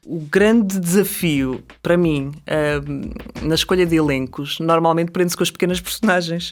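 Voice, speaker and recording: A woman with a European Portuguese accent, a fairly low pitch and fairly even intonation. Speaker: actress, dubbing voice actor and dubbing director. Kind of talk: interview answer.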